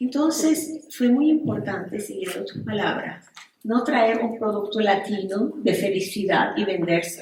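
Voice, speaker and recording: A woman with a non-native accent talks at a fairly slow pace with lively intonation, and audible room echo surrounds her voice. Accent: foreign accent in every language. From Venezuela. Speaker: psychotherapist and relationship coach. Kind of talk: panel discussion.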